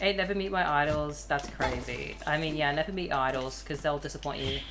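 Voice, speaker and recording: With audible room echo and noticeable background noise, a woman talks at a fairly quick pace. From Australia. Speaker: gaming streamer. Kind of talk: live gameplay commentary.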